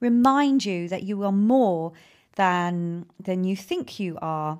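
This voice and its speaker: A woman speaks at a very slow pace with lively intonation and a calm tone, on a very clean recording with a silent background. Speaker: self-care podcast host. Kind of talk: solo podcast monologue with guided self-care exercise. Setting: home office. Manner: repetitive, halting with fillers.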